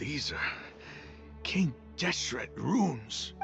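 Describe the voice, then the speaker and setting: Over clear music in the background, a man puts on a raspy character voice. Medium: machinima. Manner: reverent, fervent.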